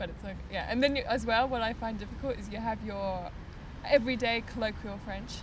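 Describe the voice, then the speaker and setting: Someone with an Australian accent talks at a fairly quick pace amid audible room echo. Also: woman, big swings in loudness. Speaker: podcast guest, traveller. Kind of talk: casual chat.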